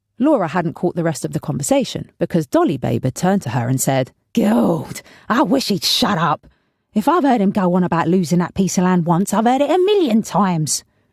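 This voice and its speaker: With very wide pitch swings and a somewhat breathy voice, a woman at medium pitch speaks at a fairly quick pace on a very clean recording with a silent background. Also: dry, close sound with no echo. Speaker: voice actor. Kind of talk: audiobook narration.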